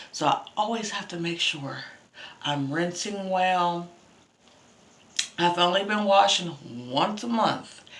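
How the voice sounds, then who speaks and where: A woman talks at a very slow pace, with long, frequent pauses and ordinary pitch variation. Audible room echo surrounds her voice. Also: medium pitch for a woman. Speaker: beauty vlogger. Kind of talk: casual hair care vlog.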